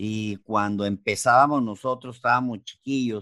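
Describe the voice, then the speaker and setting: A man speaks in a medium pitch at a fairly slow pace. The background is quiet. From Mexicali, Baja California, Mexico. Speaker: chef. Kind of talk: interview. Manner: halting.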